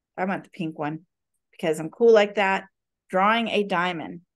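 Against a quiet background, a woman speaks at a medium pitch and moderate pace with ordinary pitch variation. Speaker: math instructor. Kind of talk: lecture. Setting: video call. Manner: animated. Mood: playful, relaxed. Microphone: video call.

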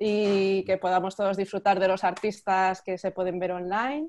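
Against a quiet background, a woman with a normal speaking voice talks at a medium pitch with fairly even intonation. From Spain (Madrid). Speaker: art magazine section editor, interviewer; interviewer. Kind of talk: casual interview. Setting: video call. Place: home room. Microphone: video call.

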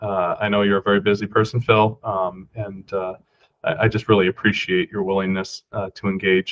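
Fairly even intonation from a man with a fairly low voice, delivered at a moderate pace. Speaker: meeting facilitator, government official; meeting facilitator. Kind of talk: meeting facilitation. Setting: video call. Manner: halting, many fillers. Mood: appreciative, polite. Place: office. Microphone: webcam.

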